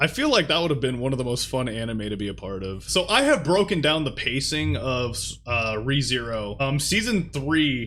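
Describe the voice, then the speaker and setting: Bright and sharp in tone, a man of medium pitch uses lively intonation and vocal fry at a moderate pace with hardly any pauses. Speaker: anime YouTuber, interviewer. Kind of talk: casual interview host talk.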